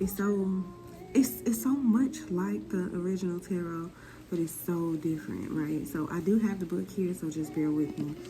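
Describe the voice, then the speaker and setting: A woman whispers at a moderate pace. Music plays in the background. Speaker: tarot reader. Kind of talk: tarot reading video. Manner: whispering; casual.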